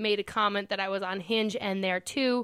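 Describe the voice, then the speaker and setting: A woman with a medium pitch speaks at a moderate pace and with fairly even intonation. The recording is very clean and the background silent. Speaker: podcast host. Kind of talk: casual chat.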